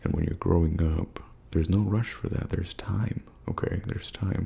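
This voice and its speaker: With noticeable background noise behind him, a man speaks at a moderate pace in a relaxed tone, his very deep, low pitch showing ordinary variation. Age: 20s. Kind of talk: ASMR life advice talk. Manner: soft-spoken, relaxed.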